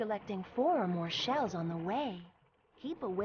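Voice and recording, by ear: The text is read aloud in a natural voice. Its intonation moves in a lively way.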